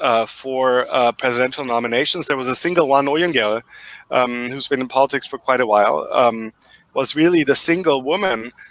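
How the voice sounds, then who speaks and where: With a German accent, a man talks at a moderate pace. His pitch varies in an ordinary way. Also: dry, close sound with no echo. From Germany. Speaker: professor. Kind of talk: interview. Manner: halting.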